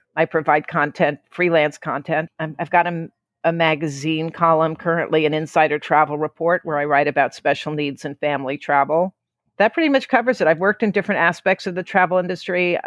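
A woman's fairly low voice in an American accent, a plain, everyday voice at a fairly quick pace with ordinary pitch variation and a dry, close sound with no echo. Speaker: author. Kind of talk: interview.

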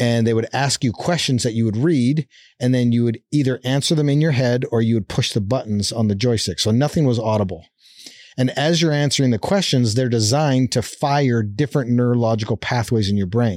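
On a very clean recording with a silent background, a man talks at a fairly quick pace with medium pitch and ordinary pitch variation. His loudness is very even, in a normal speaking voice. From Canada, Calgary, Alberta. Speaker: endurance athlete and motivational speaker. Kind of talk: interview conversation.

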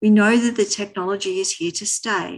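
An unremarkable speaking voice moves at a moderate pace against a quiet background. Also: woman. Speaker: podcast host. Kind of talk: interview for a podcast.

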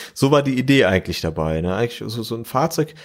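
Medium-pitched male voice with lively intonation and vocal fry. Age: 30s. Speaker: mechanical engineer and rally driver. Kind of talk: interview.

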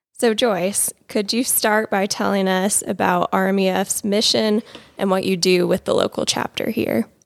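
A woman talks in an ordinary speaking voice at a medium pitch and a moderate pace, with fairly even intonation. The recording is very clean with a silent background, and the sound is dry and close with no echo. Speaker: podcast host. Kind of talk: casual chat. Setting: studio.

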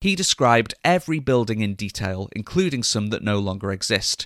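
A man with an unremarkable speaking voice talks at a fairly quick pace with lively intonation. The recording is very clean, with a silent background. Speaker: podcast host and guide. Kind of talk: history documentary narration, scripted-style. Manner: clear, measured, formal, explanatory.

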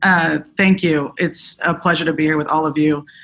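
A woman speaks with an American accent in an unremarkable speaking voice. Her intonation stays fairly even. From Chicago, US Midwest. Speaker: civil rights lawyer. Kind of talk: panel discussion. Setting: video call.

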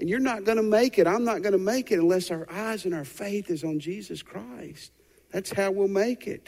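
With a high pitch and ordinary pitch variation, a man speaks at a moderate pace. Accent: Southern US. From Tennessee. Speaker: pastor. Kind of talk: sermon. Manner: animated.

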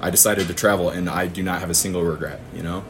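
With an American accent, a man talks in a very deep, low pitch and fairly even intonation, with audible room echo and noticeable background noise. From US Midwest (northern Michigan). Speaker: farmer. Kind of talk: interview.

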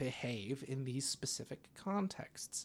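The recording is very clean, with a silent background. A man with an unremarkable speaking voice and medium pitch talks at a fairly slow pace. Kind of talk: casual conversation, podcast intro. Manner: self-deprecating, casual, laughs often.

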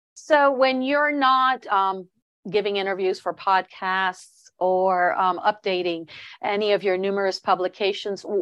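A woman with a normal speaking voice, medium in pitch, with ordinary pitch variation and a fairly slow pace. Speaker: podcast host. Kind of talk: interview.

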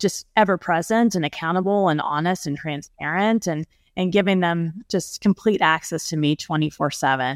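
In a plain, everyday voice, a woman with an American accent speaks at a moderate pace with ordinary pitch variation, on a very clean recording with a silent background and a dry, close sound with no echo. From Oklahoma. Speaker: bank executive. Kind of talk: interview.

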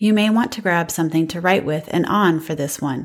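A woman's normal speaking voice, fairly low in pitch, at a moderate pace with ordinary pitch variation, on a very clean recording with a silent background. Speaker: mindfulness instructor and life coach. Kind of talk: guided meditation. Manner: calm, soft-spoken, with long pauses.

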